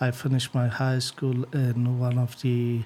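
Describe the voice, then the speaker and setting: A very slow, flat, monotone delivery in an Afghan accent. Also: man. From northern Afghanistan. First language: Uzbek. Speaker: IT engineer. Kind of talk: interview. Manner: hesitant, many fillers.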